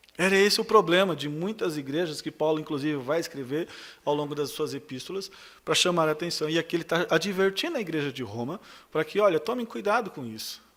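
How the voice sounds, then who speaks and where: This man talks at a fairly quick pace with lively intonation and a fairly high pitch. He has a plain, everyday voice, and the recording is very clean with a silent background. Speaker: pastor. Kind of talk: sermon. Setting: church.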